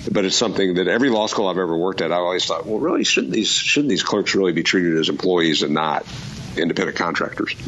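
Amid noticeable background noise and audible room echo, a man talks very fast in a very deep, low voice with ordinary pitch variation and very even loudness. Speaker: law professor. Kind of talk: radio call-in show. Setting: remote call. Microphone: Skype line.

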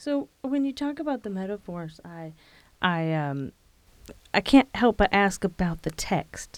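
A woman speaks at a medium pitch and fairly slow pace, her warm, upbeat tone moving in very wide pitch swings. The recording is very clean, with a silent background. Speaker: radio host. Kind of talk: radio interview with scripted show intros and breaks. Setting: radio studio.

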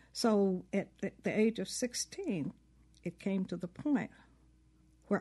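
Speaking very slowly with a Southern US accent, a woman has a dark, mellow tone and ordinary pitch variation. The background is quiet. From US South. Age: 70s. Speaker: civil rights veteran and memoir author. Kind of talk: interview. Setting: studio.

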